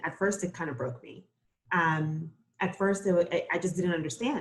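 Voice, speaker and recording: This voice is somewhat breathy and moves at a moderate pace. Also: woman. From Costa Rica, raised in Brooklyn from age nine. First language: Spanish. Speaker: floral designer. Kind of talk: interview.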